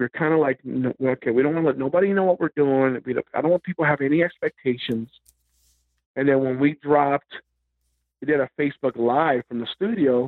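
A man speaks at a fairly quick pace with a fairly high pitch and ordinary pitch variation. It is a normal speaking voice. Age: 40s. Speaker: metal band musician. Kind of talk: casual interview. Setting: phone call.

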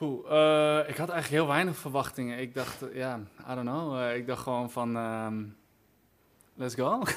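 The man's pace is fairly slow. His pitch is medium with ordinary pitch variation. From Groningen, Netherlands. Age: 20s. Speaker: singer-songwriter. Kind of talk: interview. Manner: hesitant, many fillers.

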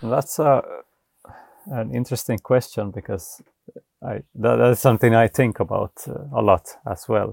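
With vocal fry and lively intonation, the speaker talks at a moderate pace, leaving long, frequent pauses, in a dry, close sound with no echo. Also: man, medium pitch for a man. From Finland, Vaasa (Ostrobothnia). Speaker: off-grid homesteader and YouTube filmmaker. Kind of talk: casual interview.

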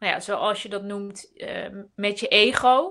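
A woman's bright, sharp tone comes with ordinary pitch variation. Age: 30s. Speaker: entrepreneur and writer. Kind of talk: casual live webinar chat. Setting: video call webinar.

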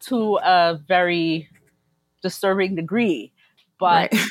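Dry, close sound with no echo, in an American accent. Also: woman. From US Northeast, Brooklyn. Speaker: food community organizer. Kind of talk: casual chat.

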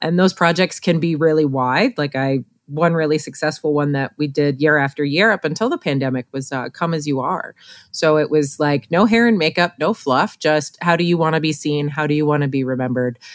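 Heard in a very clean recording with a silent background, a woman speaks with a very deep, low pitch and ordinary pitch variation, the sound dry and close with no echo. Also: fairly quick pace. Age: 40s. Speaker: portrait photographer and educator. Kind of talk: podcast interview.

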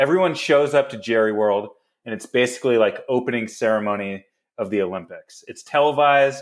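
Speaking fairly quickly with an American accent, a man uses a normal speaking voice at medium pitch, ordinary pitch variation, and big swings in loudness. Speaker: podcast host. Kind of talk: casual comedic sports banter. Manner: joking, sarcastic.

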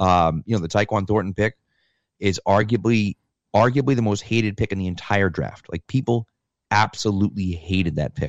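A man with an American accent has a plain, everyday voice, fairly low in pitch with ordinary pitch variation. The sound is dry and close with no echo over a quiet background. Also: moderate pace. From Massachusetts, US. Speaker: football fan guest. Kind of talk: casual chat.

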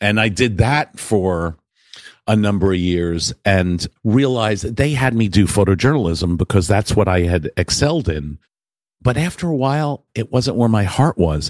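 Lively intonation and a moderate pace mark this unremarkable speaking voice with an American accent. The sound is dry and close with no echo, on a very clean recording with a silent background. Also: man, fairly low pitch for a man. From New York, Westchester County. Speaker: photographer. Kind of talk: interview.

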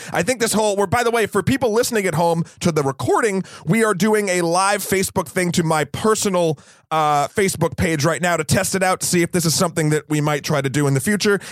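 Music plays behind a man with an American accent who talks at a very fast pace in a high pitch. His pitch variation is ordinary, his loudness very even, and the sound dry and close with no echo. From US, New Hampshire. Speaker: podcast co-host, film reviewer. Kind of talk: casual chat.

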